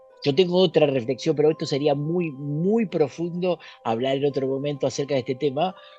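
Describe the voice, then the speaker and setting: A man talks at a fairly quick pace with a fairly high pitch. His pitch varies in an ordinary way, with music in the background. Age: 60s. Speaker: author and esoteric researcher. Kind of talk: interview.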